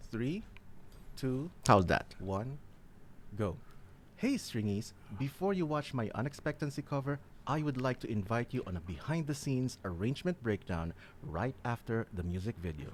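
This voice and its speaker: With very wide pitch swings around a medium pitch, a man speaks at a moderate pace and leaves long, frequent pauses. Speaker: streamer and musician. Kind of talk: casual livestream chat with recording takes.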